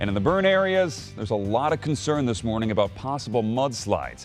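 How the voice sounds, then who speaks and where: A man's medium-pitched voice at a moderate pace, with very wide pitch swings and music in the background. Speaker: news anchor. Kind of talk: TV news anchor read.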